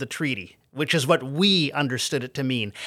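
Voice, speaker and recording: A man speaks in a Canadian accent. The recording is very clean, with a silent background. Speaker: comedian. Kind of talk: casual interview chat. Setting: studio.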